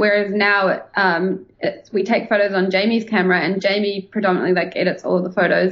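Speaking in a New Zealand accent, a woman delivers her words at a fairly quick pace and a medium pitch, with monotone, flat intonation. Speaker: travel blogger. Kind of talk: casual interview chat.

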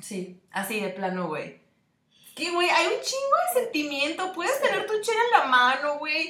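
Speaking at a fairly slow pace in a raised, projected voice, a woman with a Mexican accent reaches an extremely high pitch with very wide pitch swings. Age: 20s. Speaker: podcast co-host, advertising designer. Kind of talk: casual chat.

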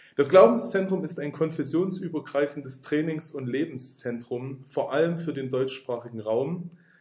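At a moderate pace, the voice sounds somewhat breathy with ordinary pitch variation. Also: man. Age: 30s. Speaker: bible school director of studies. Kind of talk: interview about spiritual growth. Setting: in person at a faith centre.

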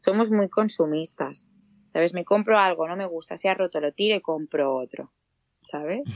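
Speaking at a moderate pace with ordinary pitch variation, a woman has a normal speaking voice pitched fairly low. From Catalonia, Spain (Granollers). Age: 20s. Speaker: nursing graduate, guest presenter. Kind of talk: casual chat.

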